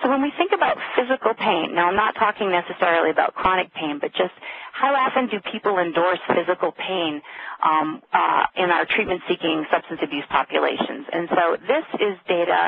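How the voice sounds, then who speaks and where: Over noticeable background noise, a woman with a medium pitch talks at a fairly quick pace with lively intonation. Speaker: addiction and pain researcher. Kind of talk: webinar lecture. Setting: conference call. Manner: fast.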